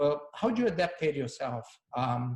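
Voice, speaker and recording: A man speaks in a somewhat breathy voice. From Brazil, Rio de Janeiro. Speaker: panel host, brand marketer. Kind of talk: panel discussion.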